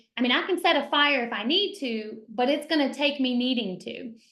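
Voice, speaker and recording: A woman speaks high, with a Kentucky accent and lively intonation. Audible room echo surrounds her voice. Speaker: realtor and team leader. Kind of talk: mastermind talk.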